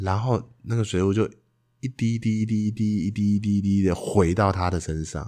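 Over a quiet background, a man with a fairly low pitch and a dark, mellow tone talks at a fairly quick pace. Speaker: podcast co-host, improv performer. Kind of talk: casual chat; improvised role-play as youtubers. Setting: recording outside a rehearsal space, noisy background.

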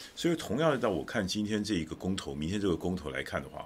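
Very deep and low, this man's voice carries vocal fry. He speaks very fast with lively intonation. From Taiwan (Taichung). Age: 60s. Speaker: political commentator. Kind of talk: casual chat.

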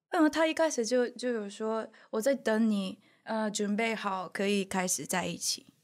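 Lively intonation in a Japanese accent at a fairly slow pace, in a very clean recording with a silent background. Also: woman, fairly high pitch for a woman. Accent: Japanese accent in Mandarin. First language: Japanese (speaking Chinese). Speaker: YouTuber. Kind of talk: casual chat. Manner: halting.

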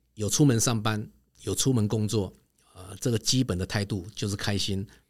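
A man's fairly low voice with ordinary pitch variation, at a moderate pace, in a very clean recording with a silent background. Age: 50s. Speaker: travel company executive. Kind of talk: interview.

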